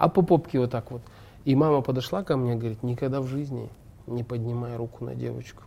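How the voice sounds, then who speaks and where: This man talks at a fairly quick pace in a medium-pitched, somewhat breathy voice with a dark, mellow tone and ordinary pitch variation. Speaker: actor and stuntman. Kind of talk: casual chat.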